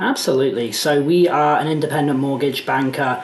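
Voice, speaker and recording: A man's fairly high voice at a fairly quick pace, fairly even in intonation, with audible room echo and noticeable background noise. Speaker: mortgage business executive. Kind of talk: interview.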